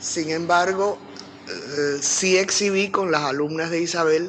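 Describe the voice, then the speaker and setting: There is noticeable background noise as a woman talks with a very deep, low pitch and ordinary pitch variation. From Cuba. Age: 80s+. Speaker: sculptor. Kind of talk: interview reminiscence.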